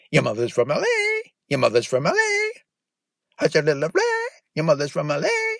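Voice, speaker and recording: A put-on character voice delivers lines in an intense tone at a fairly quick pace. Long pauses come often. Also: man. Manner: garbled, repetitive, intense.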